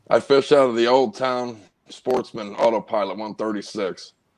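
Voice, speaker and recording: The intonation stays fairly even, with a Missouri accent. The pace is fairly slow. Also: man. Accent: Midwestern American (Missouri). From North St. Louis, Missouri. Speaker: kayak angler, concrete worker. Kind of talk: casual chat.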